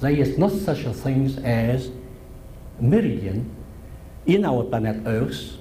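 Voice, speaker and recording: Speaking very slowly with long, frequent pauses, a man with a Vietnamese accent uses a medium pitch and lively intonation, with noticeable background noise and audible room echo. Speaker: professor. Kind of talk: lecture.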